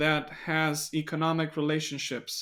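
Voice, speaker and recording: A man with a fairly high pitch and fairly slow pace, on a very clean recording with a silent background. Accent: non-native. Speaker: biblical studies content creator. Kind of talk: podcast interview discussion. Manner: somewhat halting with fillers.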